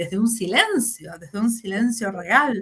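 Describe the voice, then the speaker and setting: With a Rioplatense accent, a woman speaks at a moderate pace with a fairly high pitch. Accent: Argentine Spanish (rioplatense). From Argentina. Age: 50s. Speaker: fantasy fiction writer. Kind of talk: interview.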